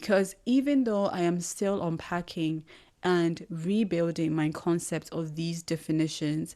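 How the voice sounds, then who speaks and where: A woman with a Ghanaian accent, fairly slow in pace, in a very clean recording with a silent background. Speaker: podcast host. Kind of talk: solo reflective monologue.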